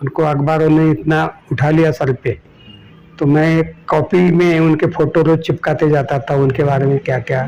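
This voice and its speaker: Fairly even intonation with music in the background. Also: man. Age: 70s. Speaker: social activist. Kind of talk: interview.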